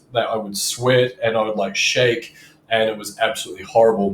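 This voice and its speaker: A man with a New Zealand accent. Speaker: sales coach. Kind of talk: casual talk to camera.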